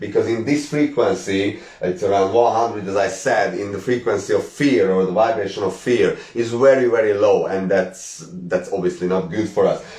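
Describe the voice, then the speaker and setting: At a moderate pace and with hardly any pauses, a man with a Hungarian accent speaks at a fairly low pitch with ordinary variation. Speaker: spiritual teacher. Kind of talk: live stream talk. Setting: live stream.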